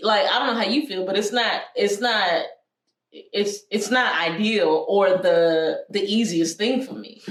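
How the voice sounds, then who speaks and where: A woman speaks at a fairly slow pace. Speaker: podcast co-host and preacher. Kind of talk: casual chat.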